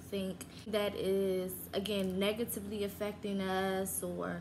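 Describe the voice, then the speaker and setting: A woman talks while noticeable background noise fills the clip. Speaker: vlogger. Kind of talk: casual vlog chat. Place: home room. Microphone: phone near.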